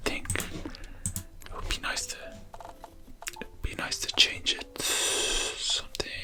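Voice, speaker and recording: Whispering in a gentle tone over music in the background. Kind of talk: ASMR gameplay narration to help viewers relax and sleep. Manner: whispered, gentle.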